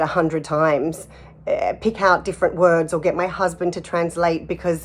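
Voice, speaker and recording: A woman speaks in a fairly low voice with monotone, flat intonation. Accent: Australian. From Australia (Sydney). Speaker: artist and actor. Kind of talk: personal testimony interview. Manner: hesitant, many fillers and repeats.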